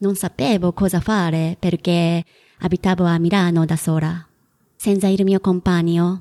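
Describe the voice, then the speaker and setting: A woman with a Japanese accent speaks fairly slowly in a fairly low, dark, mellow voice with flat, monotone intonation. The sound is dry and close, with no echo. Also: very clean recording, silent background. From Japan, Kagawa. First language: Japanese (speaking Italian). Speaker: freelance writer. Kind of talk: interview.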